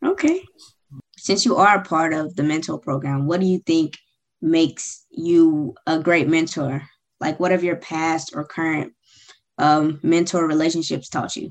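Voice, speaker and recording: Over a quiet background, a woman with a normal speaking voice and an American accent speaks at a fairly slow pace, her pitch fairly low and her intonation fairly even. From Georgia, US. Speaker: student interviewer. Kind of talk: interview.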